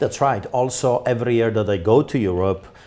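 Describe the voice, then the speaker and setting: A man with a Polish accent and a dark, mellow tone, in a very clean recording with a silent background. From Poland. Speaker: pastor. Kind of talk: interview. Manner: animated.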